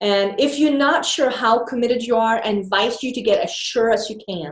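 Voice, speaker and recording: With a Swedish accent, a woman talks at a moderate pace. Her pitch is fairly high. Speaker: business coach. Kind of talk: video talk to camera. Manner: animated.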